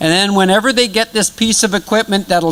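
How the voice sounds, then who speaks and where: A man's voice with ordinary pitch variation, set against noticeable background noise. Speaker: project presenter. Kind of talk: presentation. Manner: loud.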